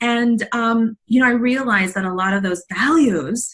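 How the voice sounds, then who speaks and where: At a moderate pace, a woman talks with a fairly high pitch. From South Texas, Mexican border. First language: Spanish. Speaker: leadership coach. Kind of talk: interview. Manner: halting, many fillers.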